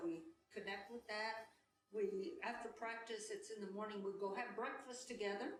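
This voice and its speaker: Music plays behind a woman with a fairly high pitch and ordinary pitch variation. She speaks at a moderate pace, and audible room echo is present. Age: 70s. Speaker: senior dancer. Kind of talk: interview.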